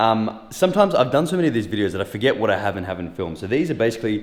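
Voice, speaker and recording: Amid noticeable background noise, a man with an Australian accent mumbles at a very fast pace and fairly low pitch, his pitch swinging very widely. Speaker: fitness youtuber. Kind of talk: casual vlog tutorial. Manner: mumbling; casual, joking.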